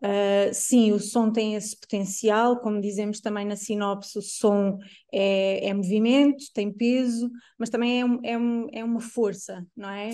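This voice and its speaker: A woman's dark, mellow tone, fairly high in pitch, fairly slow, with fairly even intonation. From Portugal, São João da Madeira. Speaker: choreographer. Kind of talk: interview. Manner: halting, many fillers.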